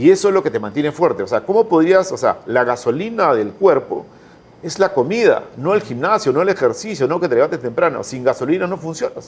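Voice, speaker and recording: A man's high pitch, lively intonation and fairly quick pace. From Peru. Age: 60s. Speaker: entrepreneur. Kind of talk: interview conversation. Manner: animated.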